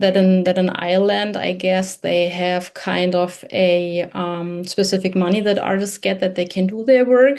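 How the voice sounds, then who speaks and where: With a German accent, a woman speaks at a moderate pace in a dark, mellow tone. Her pitch is medium with ordinary variation, against a quiet background. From Germany. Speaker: podcast host. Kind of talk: interview. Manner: halting.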